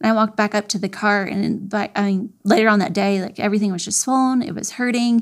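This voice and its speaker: A woman with an American accent talks at a very fast pace, with hardly any pauses. Her pitch is medium and her intonation fairly even. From Florida. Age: 40s. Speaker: triathlete. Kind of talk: interview.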